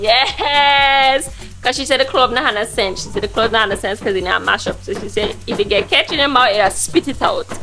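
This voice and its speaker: A woman's high-pitched voice at a fairly quick pace, lively in intonation, with hardly any pauses and music in the background. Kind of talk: casual cooking vlog talk to camera.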